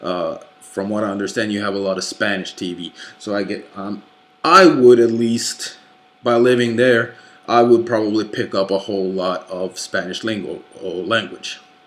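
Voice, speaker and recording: Amid noticeable background noise, a man speaks at a moderate pace with a fairly low pitch and fairly even intonation. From Norway. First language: Norwegian. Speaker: YouTuber / movie collector. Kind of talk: casual vlog rant. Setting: late night home recording. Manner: halting, many fillers.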